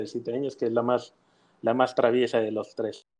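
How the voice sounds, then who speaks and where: Over a quiet background, a man with medium pitch talks in an unremarkable speaking voice with fairly even intonation. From Mexico City. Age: 30s. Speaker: mortgage executive. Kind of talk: interview.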